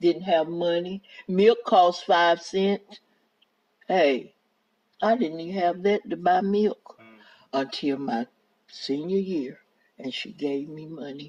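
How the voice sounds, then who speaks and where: In a North Carolina accent, the speaker goes at a very slow pace with long, frequent pauses, big swings in loudness and ordinary pitch variation. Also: woman, fairly low pitch for a woman. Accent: Southern US, North Carolina. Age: 70s. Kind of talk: oral history interview answer. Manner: relaxed, effortless storytelling.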